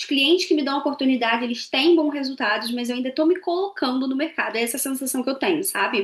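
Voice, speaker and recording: Pitched high, a woman rushes along at a very fast pace with hardly any pauses and ordinary pitch variation. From Brazil. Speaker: podcast co-host, marketing professional. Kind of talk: casual conversation.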